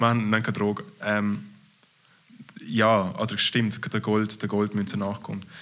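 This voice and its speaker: A man speaks very slowly with long, frequent pauses and a Graubünden Swiss accent. His fairly low voice keeps fairly even intonation. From Switzerland, Graubünden. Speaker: comedian. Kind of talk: casual interview.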